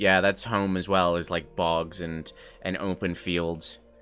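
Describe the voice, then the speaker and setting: A man with an American accent speaks at a very slow pace. His pitch is very deep and low, with music in the background. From Ireland, Gweedore (Donegal). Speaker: streamer. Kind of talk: casual chat. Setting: live stream. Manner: animated.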